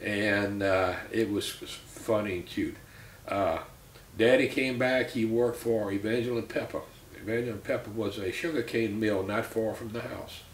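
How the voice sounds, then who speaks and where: Speaking with an American accent, a man at medium pitch keeps a moderate pace and fairly even intonation, with audible room echo and noticeable background noise. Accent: South Louisiana Cajun English. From US South, Louisiana (St. Martinville). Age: 60s. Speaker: interviewee in family oral history. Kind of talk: oral history interview. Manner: conversational, many filler words.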